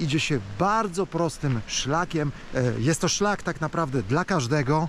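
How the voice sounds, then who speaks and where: In a dry recording with no echo and light background noise, a man talks very slowly with lively intonation. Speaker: travel vlogger. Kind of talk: casual vlog chat. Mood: happy, moved. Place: forest. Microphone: phone near.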